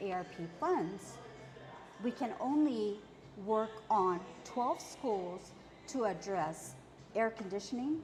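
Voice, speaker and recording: Through noticeable background noise, a woman's fairly high voice moves in very wide pitch swings. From Okinawa, Japan. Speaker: school superintendent candidate, educator. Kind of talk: interview.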